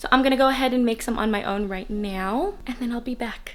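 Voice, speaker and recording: With music in the background, a woman talks at a fairly quick pace and a high pitch, with ordinary pitch variation. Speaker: beauty vlogger. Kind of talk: casual vlog talk to camera. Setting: at home. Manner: fast.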